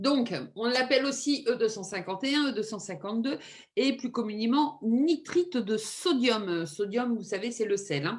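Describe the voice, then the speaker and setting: Fairly high in pitch, a woman speaks fairly slowly with lively intonation. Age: 50s. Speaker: nurse and holistic medicine practitioner. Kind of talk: informal talk on health. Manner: hesitant, many fillers.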